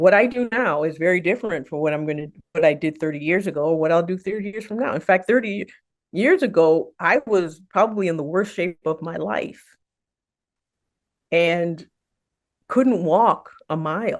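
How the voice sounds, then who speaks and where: A woman speaks with long, frequent pauses. The background is quiet. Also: fairly low pitch for a woman, lively intonation, moderate pace. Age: 60s. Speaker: physician, weight management specialist. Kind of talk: interview.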